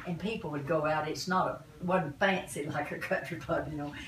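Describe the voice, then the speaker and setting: A woman with a Southern US accent and a very deep, low pitch, at a moderate pace with ordinary pitch variation, amid noticeable background noise and audible room echo. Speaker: family elder interviewed about family history. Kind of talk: casual family reminiscence.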